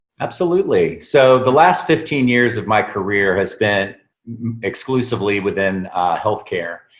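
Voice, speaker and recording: At a moderate pace and with ordinary pitch variation, a man talks in an ordinary speaking voice against a quiet background. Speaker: sales consultant and voice narrator. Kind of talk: interview answer.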